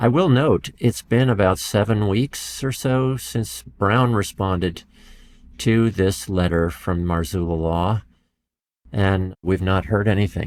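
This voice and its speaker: Speaking at a very slow pace with a calm tone, a man with an American accent has a fairly low pitch and ordinary pitch variation, captured in a very clean recording with a silent background. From United States. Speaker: professor. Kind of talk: interview. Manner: calm, even-keeled.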